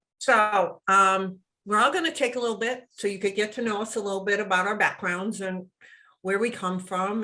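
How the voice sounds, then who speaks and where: The speaker goes at a fairly slow pace. The tone comes across bright and sharp. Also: woman. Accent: US East Coast. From US East Coast. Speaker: web show co-host. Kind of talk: casual chat.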